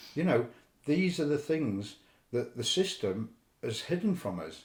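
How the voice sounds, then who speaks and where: With vocal fry and very wide pitch swings, a man talks at a fairly high pitch. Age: 50s. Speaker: podcast guest. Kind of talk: casual chat. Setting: studio.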